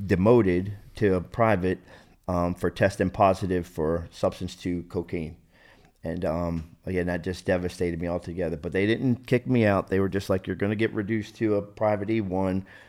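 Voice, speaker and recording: A man with an American accent speaks in a very deep, low voice with fairly even intonation, on a very clean recording with a silent background. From South Jersey, US. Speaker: recovering addict and army veteran. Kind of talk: testimony.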